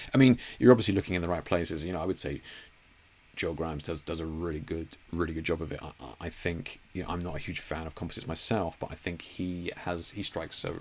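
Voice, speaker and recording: A man's very deep, low voice at a very fast pace, with big swings in loudness and ordinary pitch variation. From Cornwall, southwest England. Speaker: photographer hosting a livestream. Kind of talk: casual livestream Q&A. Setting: livestream from home studio. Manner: halting, many repeats and fillers.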